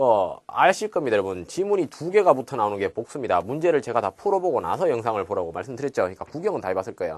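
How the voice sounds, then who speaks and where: Against a quiet background, a man with a fairly high pitch and vocal fry talks at a very fast pace with hardly any pauses and very wide pitch swings. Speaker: English test prep instructor. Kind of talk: recorded video lecture. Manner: casual, filler-heavy.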